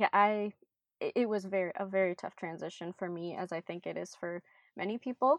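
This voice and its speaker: A woman with an Upper Midwest accent, medium pitch and a fairly quick pace. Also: ordinary pitch variation. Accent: Upper Midwest American. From Minnesota. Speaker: missionary, nonprofit development worker. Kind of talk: interview, casual chat.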